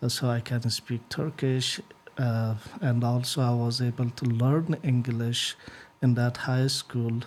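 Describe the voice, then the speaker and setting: Over noticeable background noise, a man speaks in an Afghan accent at a medium pitch and a fairly slow pace. His intonation is fairly even and his loudness very even. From northern Afghanistan. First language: Uzbek. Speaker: IT engineer. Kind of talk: interview. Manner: hesitant, many fillers.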